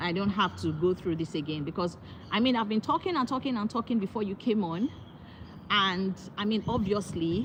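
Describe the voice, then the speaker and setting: Noticeable background noise accompanies a woman with a medium pitch. She talks at a fairly quick pace with lively intonation. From Nigeria. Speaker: motivational speaker, YouTuber; new YouTuber. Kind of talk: live stream chat. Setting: outdoors on a walk, live stream. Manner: halting; raising voice to be heard. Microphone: audio too quiet, sounds like whispering.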